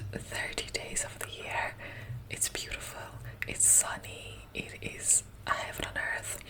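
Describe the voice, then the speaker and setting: A woman whispering at a very slow pace over noticeable background noise. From Russia, grew up in Ireland. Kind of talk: ASMR talk to camera. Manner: soft, whispering.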